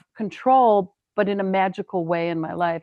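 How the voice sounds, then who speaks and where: A woman with an American accent speaks at a medium pitch and a fairly slow pace. Her intonation is fairly even. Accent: sounds a little more Canadian than American. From US Midwest, Wisconsin. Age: 60s. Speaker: painter. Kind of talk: casual chat.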